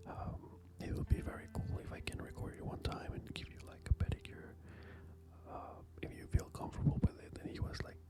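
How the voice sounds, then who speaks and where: Whispering from a man at a fairly quick pace, with big swings in loudness and noticeable background noise. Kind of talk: ASMR pedicure talk. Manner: whispered; casual, hesitant.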